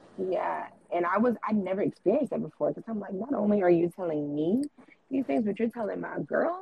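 Pitch swings very widely as a woman talks at a fairly quick pace. Background noise is noticeable. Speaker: podcaster and socialite. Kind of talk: casual chat.

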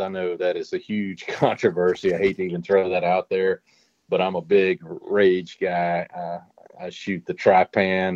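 Speaking at a moderate pace, a man with a Louisiana accent has a very deep, low pitch. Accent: Louisiana Southern. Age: 50s. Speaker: hog trap maker and bowhunter. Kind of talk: casual podcast interview.

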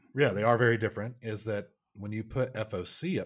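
Fairly low in pitch, a man with an American accent speaks in an unremarkable speaking voice. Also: very clean recording, silent background. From Oklahoma. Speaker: archery researcher. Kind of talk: casual chat.

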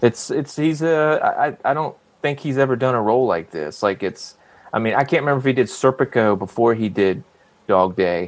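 A man with an American accent and an unremarkable speaking voice talks at a moderate pace and medium pitch with lively intonation. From South Carolina. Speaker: actor. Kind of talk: casual chat.

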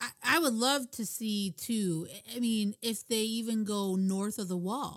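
A woman with an unremarkable speaking voice talks at a fairly slow pace, her fairly high pitch showing ordinary pitch variation. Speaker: podcaster guest caller. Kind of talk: casual chat. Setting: video call.

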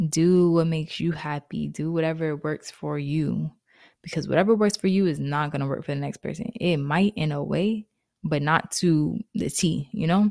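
A woman's very deep, low voice with ordinary pitch variation at a moderate pace, in a dry, close sound with no echo, on a very clean recording with a silent background. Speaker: podcast host. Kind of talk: casual solo monologue. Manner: animated.

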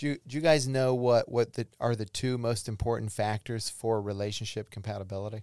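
A normal speaking voice from a man at medium pitch, fairly quick and fairly even in intonation, with a dry, close sound with no echo in a very clean recording with a silent background. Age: 50s. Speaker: psychologist. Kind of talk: casual chat.

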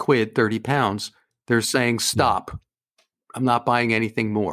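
A man talks at a moderate pace and a medium pitch. It is a plain, everyday voice. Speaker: debt adviser. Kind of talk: casual interview chat. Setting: remote call across time zones.

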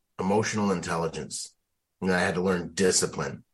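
A man's fairly low voice at a moderate pace with fairly even intonation. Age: 30s. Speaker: Marine veteran and executive protection agent. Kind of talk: interview conversation.

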